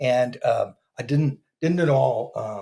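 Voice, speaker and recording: A man with an American accent, somewhat breathy, with ordinary pitch variation. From Northern California, US. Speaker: podcast guest in addiction recovery. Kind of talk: testimony. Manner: halting, with stammering repetitions.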